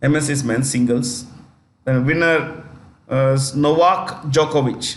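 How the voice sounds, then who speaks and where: Over audible room echo, a man with a fairly high pitch talks fairly slowly with fairly even intonation. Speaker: teacher. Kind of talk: lecture. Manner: loud and clear.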